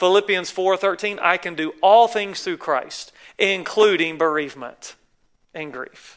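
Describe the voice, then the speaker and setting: Speaking in a Southern US accent at a fairly slow pace, a man with a high pitch shows ordinary pitch variation and big swings in loudness. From North Carolina, US South. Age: 40s. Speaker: guest preacher. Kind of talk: sermon. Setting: church.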